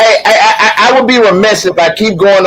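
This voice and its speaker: Male speech with ordinary pitch variation amid noticeable background noise. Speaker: live show co-host. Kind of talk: casual chat. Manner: loud.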